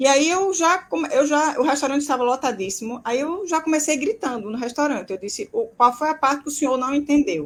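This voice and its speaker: A woman with a high pitch and lively intonation talks at a fairly quick pace, hardly pausing at all. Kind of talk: casual chat. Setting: live video stream. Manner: soft-spoken.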